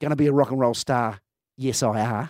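An Australian accent comes through in a very clean recording with a silent background and a dry, close sound with no echo. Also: man. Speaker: music bar owner. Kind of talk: casual chat.

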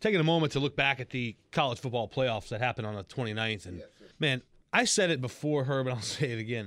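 A man with an unremarkable speaking voice, medium pitch and ordinary pitch variation, at a fairly quick pace, on a very clean recording with a silent background. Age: 40s. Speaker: sports radio host. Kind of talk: sports talk radio.

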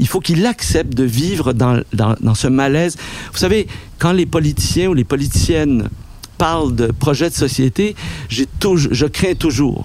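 Over noticeable background noise, a man talks at a fairly slow pace in a fairly high pitch. His intonation is lively and his loudness very even. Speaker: documentary filmmaker and writer. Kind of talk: interview. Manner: halting.

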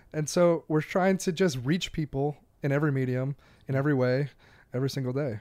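In a normal speaking voice with an American accent, a man talks at a fairly quick pace and a fairly high pitch with ordinary pitch variation. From Wisconsin, Door County. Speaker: golf writer. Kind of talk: casual chat.

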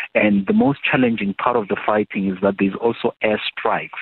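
A man's fairly low voice, monotone and flat in intonation, at a moderate pace. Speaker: government spokesperson. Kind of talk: news interview.

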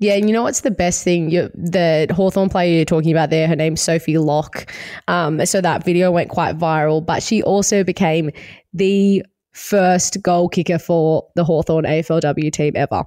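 A woman with an Australian accent speaks at a moderate pace, her fairly low, dark, mellow voice keeping fairly even intonation. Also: very even loudness. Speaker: podcast host. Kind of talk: casual chat. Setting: remote call.

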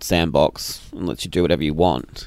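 A man speaks at a moderate pace in an Australian accent. His voice has vocal fry. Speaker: podcast co-host. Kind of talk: casual chat.

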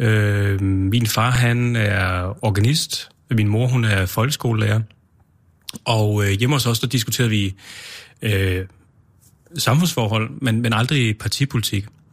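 On a very clean recording with a silent background, a somewhat breathy man with a fairly low pitch speaks at a very slow pace, with long, frequent pauses and very even loudness. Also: ordinary pitch variation. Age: 30s. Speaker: mayor and conservative politician. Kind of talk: casual chat. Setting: studio.

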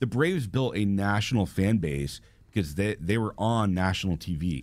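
In an American accent, a man with a very deep, low voice speaks with lively intonation. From Atlanta area, US South. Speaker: marketing agency owner, soccer supporter organizer. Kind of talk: casual interview chat.

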